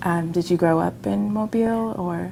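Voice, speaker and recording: A woman speaks at a fairly slow pace. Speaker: oral history interviewer. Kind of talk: interview questions.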